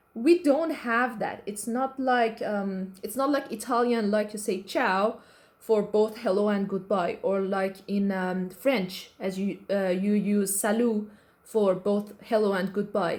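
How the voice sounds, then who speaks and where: A woman with an Iranian accent, fairly slow, with ordinary pitch variation. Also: medium pitch for a woman. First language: Persian. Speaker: YouTuber. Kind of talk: casual reaction commentary. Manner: halting, many fillers and restarts.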